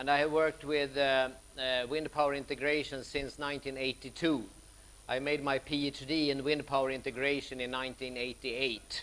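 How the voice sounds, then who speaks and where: This man talks at a fairly quick pace in a fairly high pitch. His intonation is monotone and flat. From Sweden. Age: 60s. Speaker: professor. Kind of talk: lecture.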